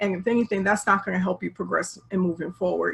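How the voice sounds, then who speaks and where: A woman talks at a medium pitch with an American accent and vocal fry. Her intonation is monotone and flat. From Chicago area, US Midwest. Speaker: relationship coach. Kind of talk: interview. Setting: video call.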